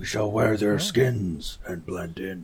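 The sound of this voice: A man speaks in a put-on character voice, fairly low in pitch and at a fairly slow pace.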